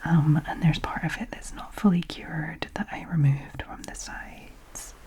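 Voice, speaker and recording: Whispered words from a woman, with noticeable noise in the background. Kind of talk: ASMR voiceover. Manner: soft-spoken, whispered.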